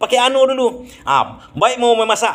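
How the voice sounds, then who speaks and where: A moderate pace in a Minangkabau accent. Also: man. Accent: Minangkabau-accented Indonesian. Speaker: vlogger explaining Minang dialects. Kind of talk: casual explanatory monologue. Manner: halting, with many fillers. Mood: cheerful, smiling, relaxed. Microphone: phone near.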